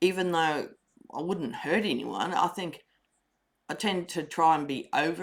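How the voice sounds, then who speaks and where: In a very clean recording with a silent background, a woman with a fairly low pitch talks at a fairly slow pace. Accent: Australian. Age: 60s. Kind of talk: personal testimony.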